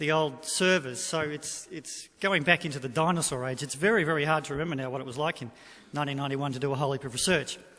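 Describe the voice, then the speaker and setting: This man has a fairly high voice with a bright, sharp tone, ordinary pitch variation and an Australian accent. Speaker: economic forecaster. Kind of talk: presentation to business audience. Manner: halting.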